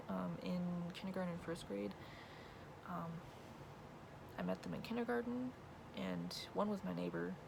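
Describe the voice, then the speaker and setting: A quiet woman with an American accent, long and frequent pauses, and noticeable background noise. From California. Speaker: vlogger. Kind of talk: casual Q&A vlog. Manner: wavering, shy.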